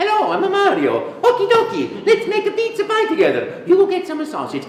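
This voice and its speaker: A put-on character voice in an Italian accent, pitched extremely high and moving at a fairly quick pace. Light background noise and a slight echo sit behind it. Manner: cheerful, friendly.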